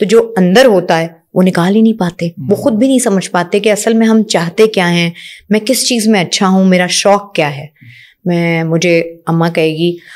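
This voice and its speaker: Woman speaking at a fairly slow pace against a quiet background. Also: ordinary pitch variation. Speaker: podcast guest. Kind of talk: interview answer. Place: studio. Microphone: studio mic.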